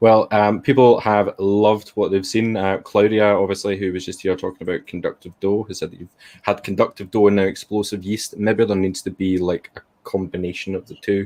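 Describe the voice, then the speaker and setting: With a Glaswegian accent, a man speaks at a fairly quick pace and fairly low pitch in a dark, mellow tone, his intonation monotone and flat but his loudness swinging widely. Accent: Glaswegian Scottish. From Scotland, Glasgow. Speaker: event host. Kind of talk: casual chat.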